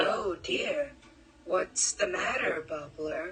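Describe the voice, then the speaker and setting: Using a put-on character voice, a woman speaks at a very slow pace with a medium pitch. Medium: audio drama.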